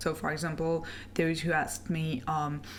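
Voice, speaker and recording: A woman with a French accent, very deep and low in pitch, at a fairly slow pace, with audible room echo. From France. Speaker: webcomic artist and animator. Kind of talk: casual Q&A video. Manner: hesitant, many fillers.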